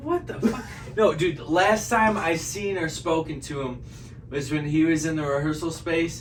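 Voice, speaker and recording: With an American accent, a man speaks at a moderate pace, his fairly high pitch showing ordinary variation. The recording carries audible room echo and noticeable background noise. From Michigan. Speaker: musician, podcast guest. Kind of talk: casual chat.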